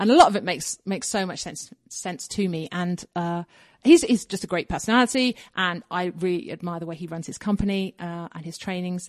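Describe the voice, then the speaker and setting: Speaking with an English accent, a woman talks at a fairly quick pace and medium pitch with ordinary pitch variation and big swings in loudness. The sound is dry and close with no echo over a quiet background. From England, south London suburbs. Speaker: copywriter and actor. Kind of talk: casual interview.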